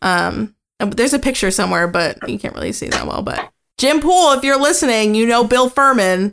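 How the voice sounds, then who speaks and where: In a normal speaking voice, a woman talks at a fairly high pitch with lively intonation, captured in a very clean recording against a silent background. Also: fairly quick pace. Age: 20s. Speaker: podcast co-host. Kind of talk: casual chat.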